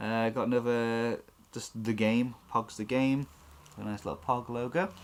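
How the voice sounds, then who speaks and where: Speaking with a British accent, the man's voice sits at a medium pitch. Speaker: toy unboxing youtuber. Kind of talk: casual unboxing chat.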